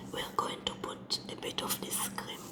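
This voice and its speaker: The voice is a whisper at a moderate pace. Noticeable background noise can be heard as well. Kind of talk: ASMR makeup role-play tutorial. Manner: whispered.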